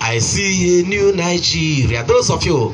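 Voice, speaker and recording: Light noise runs in the background. A man speaks with very wide pitch swings. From Nigeria. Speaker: preacher giving prophecy. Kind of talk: sermon with prophetic declarations. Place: tent. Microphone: pa.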